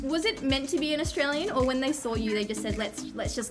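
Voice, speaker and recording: A woman talks at a very fast pace. Clear music can be heard in the background. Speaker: entertainment interviewer. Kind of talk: interview questions. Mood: friendly, curious. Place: home room.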